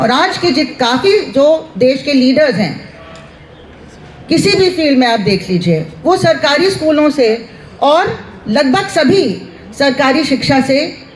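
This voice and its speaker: A woman with a high pitch speaks in very wide pitch swings and very even loudness, leaving long, frequent pauses. Noticeable background noise and audible room echo are present. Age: 60s. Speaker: university professor. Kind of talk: rally speech.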